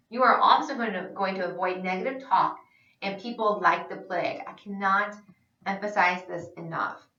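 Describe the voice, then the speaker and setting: A woman speaks in an animated tone with ordinary pitch variation. There is audible room echo. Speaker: sales trainer. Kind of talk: instructional presentation. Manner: fast.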